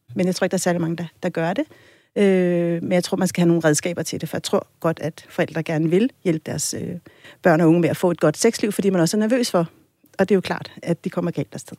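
A woman's fairly low, dark, mellow voice with ordinary pitch variation, dry and close with no echo, on a very clean recording with a silent background. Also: fairly quick pace. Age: 40s. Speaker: sex educator. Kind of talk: casual chat.

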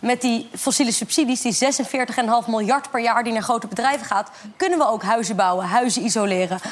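A woman speaks at a moderate pace in a fairly high voice with ordinary pitch variation, noticeable background noise behind her. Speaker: climate activist. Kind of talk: talk show interview. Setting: studio with audience.

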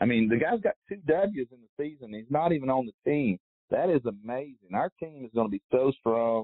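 With lively intonation, a man speaks in an unremarkable speaking voice. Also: medium pitch for a man, moderate pace. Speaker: tour caddie. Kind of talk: casual interview. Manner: rambling, informal.

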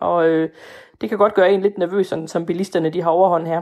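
Spoken at a fairly quick pace in a monotone, flat intonation, the recording is very clean with a silent background. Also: woman. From Denmark, Fænø. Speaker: voter. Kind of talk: interview. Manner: hesitant.

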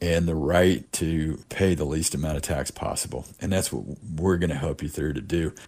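A man talks at a moderate pace with hardly any pauses, his pitch very deep and low. There is vocal fry, and the pitch variation is ordinary. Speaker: tax resolution specialist. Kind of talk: radio interview with promotional pitch. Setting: radio studio. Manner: salesy, promotional.

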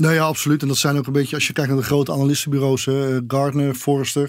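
The recording is very clean with a silent background, and a man speaks in a fairly high pitch with monotone, flat intonation. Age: 50s. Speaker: trendwatcher and author. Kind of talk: interview. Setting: studio.

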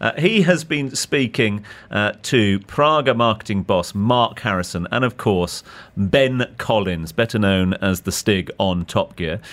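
A man with an ordinary speaking voice, fairly low in pitch, at a fairly slow pace with lively intonation, on a very clean recording with a silent background. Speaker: radio host. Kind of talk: radio DJ patter: live chat and link-ins on a Christmas Eve radio show. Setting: studio.

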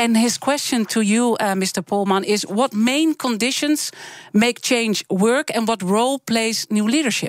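A woman with a Dutch accent, fairly high in pitch, at a fairly slow pace, dry and close with no echo. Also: ordinary pitch variation, very even loudness. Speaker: radio interviewer. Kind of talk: interview. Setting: studio.

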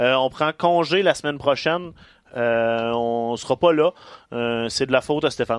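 At a fairly slow pace with long, frequent pauses, a man with a Quebec accent speaks with ordinary pitch variation, the sound dry and close with no echo over a quiet background. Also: medium pitch for a man. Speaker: wrestling podcast co-host. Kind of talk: casual chat.

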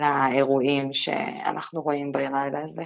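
Her pace is very slow. The voice belongs to a woman. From Israel, Lod. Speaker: news reporter. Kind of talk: radio interview.

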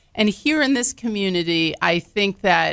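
At a fairly slow pace, a woman speaks at medium pitch in a very clean recording with a silent background. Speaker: botanical garden president and CEO. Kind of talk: interview. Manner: loud, boisterous, talkative.

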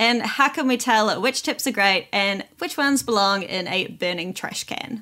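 Here a woman has a plain, everyday voice at a fairly high pitch. She speaks at a moderate pace with lively intonation. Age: 30s. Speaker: sex educator and podcast host. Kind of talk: casual chat.

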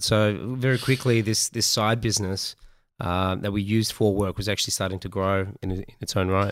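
A man talks in a fairly low voice with an Australian accent. The recording is very clean, with a silent background. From Australia, Melbourne. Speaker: entrepreneur. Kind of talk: casual chat.

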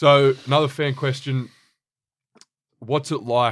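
The recording is very clean, and the background is silent. A man talks with an Australian accent. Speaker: podcast co-host. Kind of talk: interview.

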